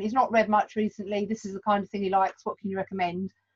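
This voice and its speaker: A woman's somewhat breathy voice at a very fast pace, in a dry, close sound with no echo. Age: 40s. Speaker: bookshop owner and tutor. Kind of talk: casual interview.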